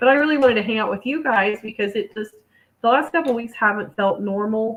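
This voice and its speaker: Putting on a raspy character voice, a woman speaks very fast at a fairly high pitch with ordinary pitch variation. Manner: subdued, sincere.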